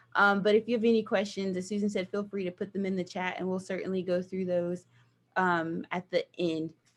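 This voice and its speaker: In a Southern US accent, a woman speaks at medium pitch and a moderate pace. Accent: Southern twang. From US South, small towns Georgia/Virginia. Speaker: nonprofit director of operations. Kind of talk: guest talk with slides. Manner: animated.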